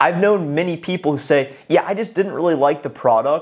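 A man speaks in an energetic tone. His pitch varies in an ordinary way. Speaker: sales coach and YouTuber. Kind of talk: monologue video advice. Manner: loud, energetic.

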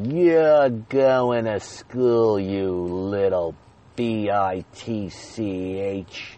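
A put-on character voice from a man, fairly low in pitch, at a very slow pace

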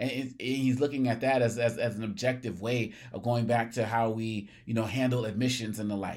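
Fairly quick, hardly paused speech from a man at medium pitch with an American accent. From US Northeast, Massachusetts (Cambridge). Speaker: podcast host, commentator on race and equity. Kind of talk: solo commentary monologue. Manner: animated, repeats words when starting phrases.

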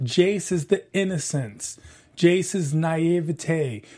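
Very slow speech from a man with a high voice, dark and mellow in tone, lively in intonation, on a very clean recording with a silent background. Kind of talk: casual chat.

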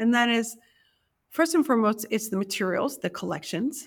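A woman with an American accent has an unremarkable speaking voice at a fairly high pitch with lively intonation. The recording is very clean, with a silent background. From US, New York City. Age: 50s. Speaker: library curator and author. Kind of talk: interview.

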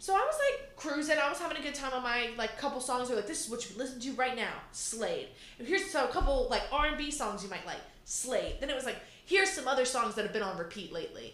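Over noticeable background noise, a woman talks at a very fast pace in an animated tone, her high pitch making very wide swings. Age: 20s. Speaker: podcast host. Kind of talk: casual chat.

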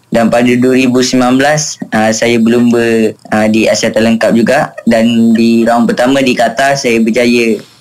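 Music runs in the background. A man speaks at a very slow pace. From Malaysia. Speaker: motorcycle racer. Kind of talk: radio interview. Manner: halting, many fillers.

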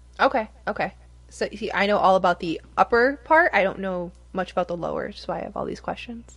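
A woman's unremarkable speaking voice with an American accent, medium pitch, lively intonation, big swings in loudness and a fairly quick pace, in a very clean recording with a silent background. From Michigan. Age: 30s. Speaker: podcast host. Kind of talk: casual chat.

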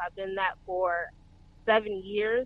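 A woman speaks with a Southern US accent. Her pace is moderate. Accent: Southern US (Georgia). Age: 30s. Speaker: trainee truck driver. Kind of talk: casual interview chat.

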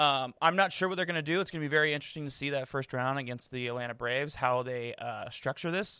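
A man speaks loudly at a very fast pace. His fairly high pitch has ordinary variation and a bright, sharp tone. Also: very clean recording, silent background. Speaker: baseball podcast host. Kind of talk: casual chat. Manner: animated.

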